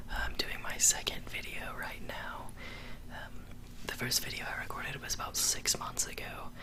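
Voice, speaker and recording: A man whispers at a moderate pace amid noticeable background noise. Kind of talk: ASMR whispered talking to camera. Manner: whispered, soft-spoken.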